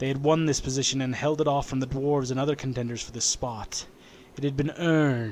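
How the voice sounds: The intonation is fairly even in a natural reading voice.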